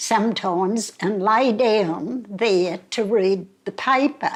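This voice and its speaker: A woman with an Australian accent speaks at a very slow pace, her fairly high pitch moving with ordinary variation. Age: 90s. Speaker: elderly local resident. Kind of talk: interview reminiscence.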